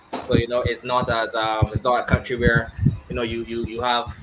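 A man talks fairly fast while noticeable background noise plays behind him. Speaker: podcast host. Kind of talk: casual chat.

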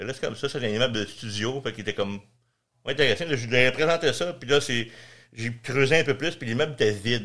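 On a very clean recording with a silent background, a man with a Quebec accent talks very fast in a bright, sharp tone with ordinary pitch variation. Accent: Quebec French, casual joual. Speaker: real estate investor and landlord. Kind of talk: casual interview.

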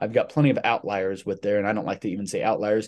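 Over a quiet background, a man speaks at medium pitch in an ordinary speaking voice. His pitch varies in an ordinary way. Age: 20s. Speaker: fitness coach and podcast host. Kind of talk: solo podcast monologue. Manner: casual with filler words.

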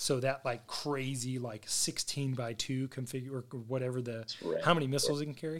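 At a fairly quick pace, a man with a plain, everyday voice speaks at medium pitch with fairly even intonation. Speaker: podcast host; military fighter pilot. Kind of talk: casual, technical aviation jargon.

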